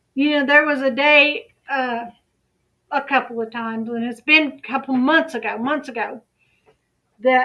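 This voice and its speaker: In a very clean recording with a silent background, a woman with a high pitch and a bright, sharp tone uses a raised, projected voice at a moderate pace with ordinary pitch variation. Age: 50s. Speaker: YouTube commentary channel host. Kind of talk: casual livestream chat.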